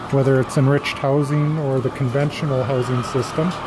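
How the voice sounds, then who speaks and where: Noticeable background noise is audible. Over it, a man talks at a fairly quick pace. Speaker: egg farmer. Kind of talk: video tour. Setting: inside a barn with hens. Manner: whispering; casual, hesitant.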